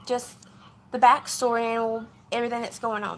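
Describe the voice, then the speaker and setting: With a Southern US accent, a woman speaks at a moderate pace in a high voice. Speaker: vlogger. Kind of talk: casual vlog update.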